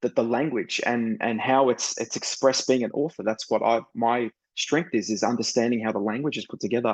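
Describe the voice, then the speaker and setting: Speaking with an Australian accent, a man keeps a medium pitch and fairly even intonation. He goes at a fairly quick pace with hardly any pauses. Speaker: author and screenwriter. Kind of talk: interview conversation.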